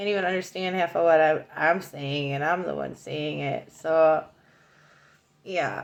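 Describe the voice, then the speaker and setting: A woman mumbles at a moderate pace. Her pitch variation is ordinary. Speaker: psychic card reader. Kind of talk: oracle card reading monologue. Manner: mumbling; casual, rambling with fillers.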